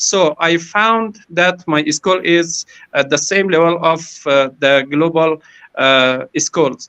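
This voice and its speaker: A non-native accent at a very slow pace. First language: not English. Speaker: school principal. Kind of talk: panel talk. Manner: halting.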